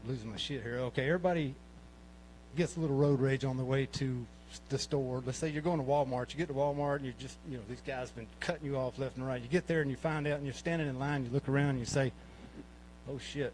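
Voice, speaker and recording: Here a man with a Southern US accent talks at a very fast pace. His medium-pitched voice keeps a fairly even intonation. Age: 60s. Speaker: amateur comedian. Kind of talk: stand-up. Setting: stage with audience. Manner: halting.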